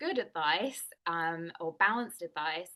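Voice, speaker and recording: With an English accent, a woman speaks at a fairly slow pace against a quiet background. Her fairly low voice has a bright, sharp tone. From England. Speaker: nutrition and wellness coach. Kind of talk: interview.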